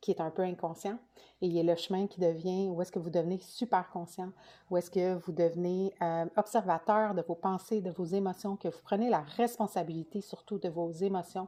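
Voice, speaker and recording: A woman with a Quebec accent at medium pitch, moderate pace and fairly even intonation. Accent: Québécois French. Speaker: spiritual coach. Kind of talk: live stream talk. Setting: live video. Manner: hesitant, many fillers.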